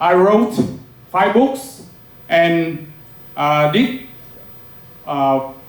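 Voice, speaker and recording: With a Vietnamese accent, a man talks very slowly at a high pitch with lively intonation, and audible room echo surrounds his voice. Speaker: professor. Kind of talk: lecture. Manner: halting, many filler sounds.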